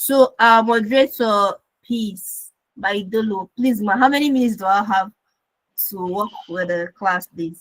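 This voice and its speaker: Fairly high-pitched, somewhat breathy woman's voice at a fairly slow pace, with ordinary pitch variation and a dry, close sound without echo. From Eastern Nigeria, Enugu. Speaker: Web3 educator, community manager. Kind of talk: online class lecture.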